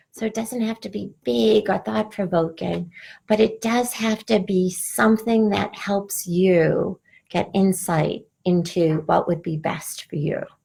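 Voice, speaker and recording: A woman with a Boston accent speaks at a fairly slow pace in a medium-pitched, somewhat breathy voice with a dark, mellow tone and ordinary pitch variation. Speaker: spiritual coach. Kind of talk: live online workshop.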